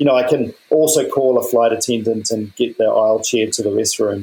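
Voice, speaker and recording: A man in a New Zealand accent, at a very fast pace. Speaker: podcast host. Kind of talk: interview.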